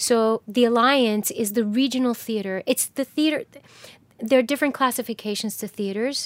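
A woman has a plain, everyday voice with an American accent, fairly high pitch and fairly even intonation. She keeps a moderate pace on a very clean recording with a silent background. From New Jersey, near Manhattan. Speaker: actor. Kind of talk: interview.

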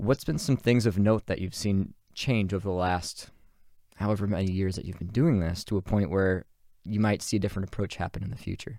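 At a fairly quick pace, a man with a fairly low pitch and a dark, mellow tone speaks with ordinary pitch variation in a very clean recording with a silent background. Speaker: podcast host. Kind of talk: casual interview.

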